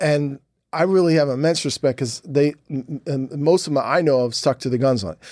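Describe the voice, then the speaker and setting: A man's fairly high voice at a moderate pace with ordinary pitch variation, in a very clean recording with a silent background and a dry, close sound with no echo. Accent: American. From US Northeast, Philadelphia. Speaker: novelist and comic book writer. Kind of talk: interview. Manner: halting.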